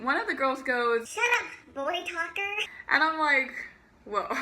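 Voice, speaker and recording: A woman speaks at a fairly slow pace. Her voice is raised and projected. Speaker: YouTuber. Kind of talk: storytime vlog. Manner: peppy, higher-pitched put-on voice; casual, uses fillers.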